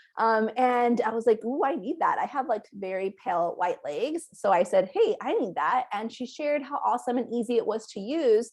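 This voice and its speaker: Lively intonation runs through the speech with hardly any pauses. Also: woman, high pitch for a woman. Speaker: direct sales recruiter. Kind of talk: sales pitch. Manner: fast.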